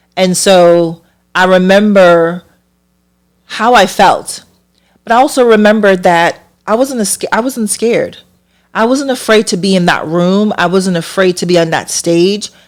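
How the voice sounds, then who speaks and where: Recorded very cleanly against a silent background, a woman with a Caribbean accent speaks fairly slowly at medium pitch, with ordinary pitch variation and long, frequent pauses. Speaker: hairstylist and podcast host. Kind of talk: personal storytelling.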